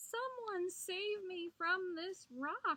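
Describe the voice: A woman uses a put-on character voice with lively intonation and a bright, sharp tone. Her pitch is extremely high and her pace very slow.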